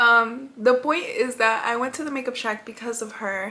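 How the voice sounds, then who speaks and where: A woman speaks in a high voice. Noticeable background noise is present. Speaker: beauty vlogger. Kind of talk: makeup tutorial.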